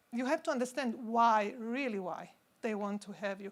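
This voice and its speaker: A woman speaks at a moderate pace with a fairly high pitch and ordinary pitch variation, on a very clean recording with a silent background. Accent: non-native. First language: not English. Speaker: symposium speaker, pharma consultant. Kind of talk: conference talk. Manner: halting.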